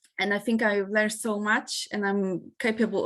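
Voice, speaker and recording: A woman with a non-native accent, fairly high pitch, fairly even intonation, and a moderate pace. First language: not English. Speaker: part-time student and engineer. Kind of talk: interview testimony. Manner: halting, many fillers.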